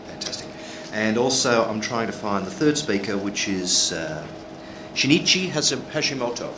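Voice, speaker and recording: With an Australian accent, a man speaks at a medium pitch and moderate pace with lively intonation, amid noticeable background noise and audible room echo. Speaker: session moderator. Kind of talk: conference moderation.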